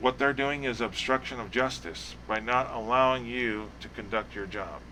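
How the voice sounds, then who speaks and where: The tone is bright and sharp. A man talks at a medium pitch. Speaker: roleplay police academy instructor. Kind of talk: tutorial. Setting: live stream. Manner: fast.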